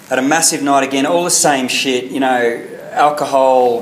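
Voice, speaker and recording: A man with an Australian accent speaks with fairly even intonation. There is audible room echo and noticeable background noise. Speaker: recovering alcoholic speaker. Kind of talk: testimony. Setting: meeting with audience.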